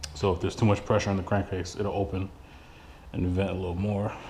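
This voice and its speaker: A man speaks in a fairly low pitch. His voice is somewhat breathy. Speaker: car hobbyist doing an engine swap. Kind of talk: casual walkaround talk to camera. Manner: mumbling.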